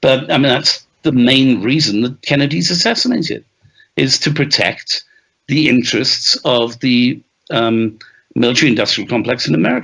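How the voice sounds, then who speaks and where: The voice has a bright, sharp tone in a Welsh accent. Its loudness stays very even. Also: man, medium pitch for a man, ordinary pitch variation, moderate pace. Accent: Welsh-tinged British English. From Wales. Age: 60s. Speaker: author and journalist. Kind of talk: interview.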